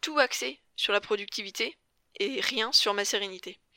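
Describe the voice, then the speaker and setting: This woman's voice is fairly high, with a bright, sharp tone and ordinary pitch variation. The recording is very clean, with a silent background. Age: 20s. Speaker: podcast host and life coach. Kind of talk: solo podcast introduction.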